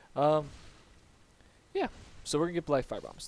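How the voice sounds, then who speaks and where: A man mumbles. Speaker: gaming YouTuber. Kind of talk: gameplay commentary. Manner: quiet; mumbling.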